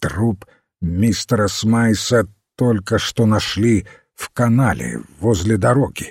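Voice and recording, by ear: A man's put-on character voice with a husky, rough edge, fairly low in pitch, slow in pace, with lively intonation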